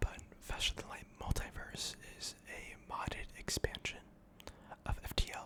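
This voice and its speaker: Calm whispering at a fairly slow pace, with long, frequent pauses and noticeable background noise. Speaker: gaming ASMR creator. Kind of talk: ASMR gameplay commentary. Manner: whispered, calm.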